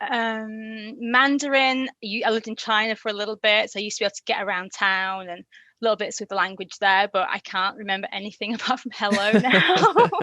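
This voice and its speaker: Over a quiet background, a woman with a Yorkshire accent speaks at a fairly quick pace with hardly any pauses, using a fairly high pitch, a bright, sharp tone and ordinary pitch variation, in a dry, close sound with no echo. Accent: Yorkshire twang. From Yorkshire, northern England. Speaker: language learner guest. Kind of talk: interview. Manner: hesitant, many fillers.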